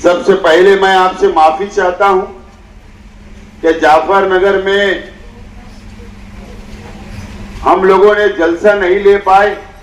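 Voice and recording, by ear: A man speaks at a fairly slow pace with a high pitch and little pitch movement. Audible room echo surrounds his voice.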